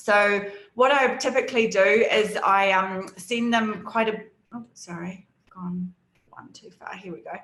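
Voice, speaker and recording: In a New Zealand accent, a woman talks at a fairly slow pace with a medium pitch. Her intonation is fairly even, but her loudness swings a lot. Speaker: data analytics team lead and conference speaker. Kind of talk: conference presentation. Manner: hesitant, many fillers.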